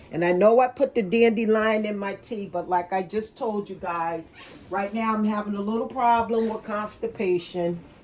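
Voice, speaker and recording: Against noticeable background noise, a woman with a fairly high voice talks at a moderate pace with fairly even intonation. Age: 60s. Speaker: cooking and wellness vlogger. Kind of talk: casual kitchen demonstration. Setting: home kitchen. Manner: rambling, conversational.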